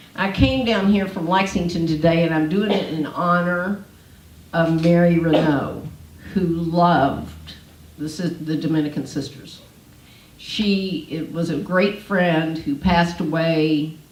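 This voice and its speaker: Over noticeable background noise and audible room echo, a woman with a fairly low pitch speaks at a fairly slow pace with fairly even intonation. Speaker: homeless ministry leader. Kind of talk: panel talk. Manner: loud.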